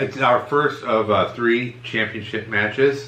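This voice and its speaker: Noticeable background noise accompanies a man whose medium-pitched voice follows fairly even intonation. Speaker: MMA podcast co-host. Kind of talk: casual podcast talk.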